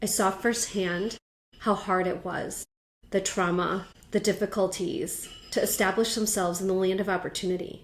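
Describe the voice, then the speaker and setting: A woman at a moderate pace, her intonation monotone and flat, with music in the background. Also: medium pitch for a woman. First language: Thai. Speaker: company co-founder, podcast co-host. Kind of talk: reflective podcast conversation.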